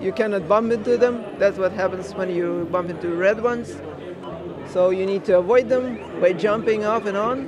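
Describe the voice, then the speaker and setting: A man talks at a moderate pace with a high pitch. His intonation is fairly even, and there is noticeable background noise. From Ukraine. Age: 30s. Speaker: indie game developer. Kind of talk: interview. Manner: halting, many fillers.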